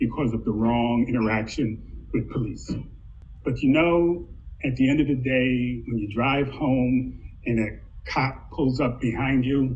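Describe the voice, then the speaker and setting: There is audible room echo around a man's voice. He talks at a fairly slow pace with ordinary pitch variation. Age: 60s. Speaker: university diversity administrator. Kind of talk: panel discussion.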